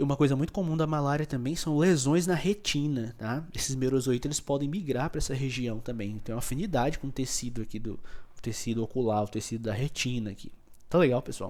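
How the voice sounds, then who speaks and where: A man talks at a very fast pace, with audible echo from the room around him. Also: medium pitch for a man, ordinary pitch variation. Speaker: microbiology teacher. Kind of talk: lecture. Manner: animated.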